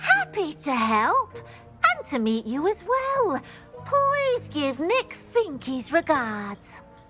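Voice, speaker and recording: A female-sounding, put-on character voice speaks at a very slow pace and high pitch for a woman. Clear music plays in the background. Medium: video game.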